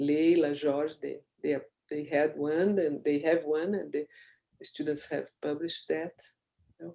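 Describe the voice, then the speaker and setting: Fairly slow speech in a Portuguese accent, broken by long, frequent pauses. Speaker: thesis examiner. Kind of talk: academic questioning. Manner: halting.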